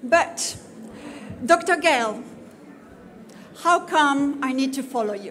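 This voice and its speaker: Very slow, lively intonation in a French accent, broken by long, frequent pauses, with audible room echo and noticeable background noise. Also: woman, high pitch for a woman. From France. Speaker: conference speaker on community safety. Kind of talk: conference presentation. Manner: halting, many fillers.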